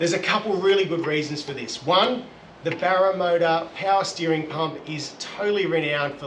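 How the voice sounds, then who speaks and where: A man talks at a fairly quick pace. The recording has audible room echo and light background noise. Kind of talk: tutorial. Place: garage.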